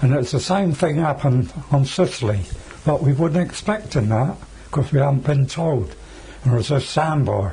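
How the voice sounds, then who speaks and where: Lively intonation is delivered at a very even loudness over noticeable background noise. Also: man, fairly high pitch for a man, moderate pace. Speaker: war veteran. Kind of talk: interview answer.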